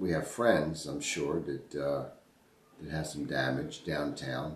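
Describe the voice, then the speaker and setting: A man with a very deep, low pitch and an American accent talks at a very slow pace with fairly even intonation and long, frequent pauses, amid audible room echo and noticeable background noise. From Baltimore, Maryland (Highlandtown). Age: 50s. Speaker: interviewee recalling history. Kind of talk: oral history interview. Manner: halting, many repetitions.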